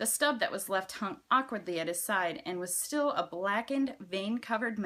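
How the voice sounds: What we hear is a natural reading voice.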